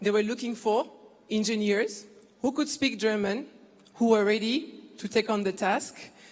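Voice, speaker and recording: Somewhat breathy, a woman with a fairly high pitch and ordinary pitch variation speaks at a moderate pace. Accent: French. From Ivory Coast. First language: French. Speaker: business executive. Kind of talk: keynote speech.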